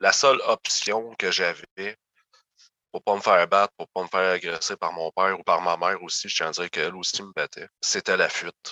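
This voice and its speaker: A man at a moderate pace, the sound dry and close with no echo. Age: 30s. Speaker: former youth protection placement survivor. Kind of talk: interview testimony.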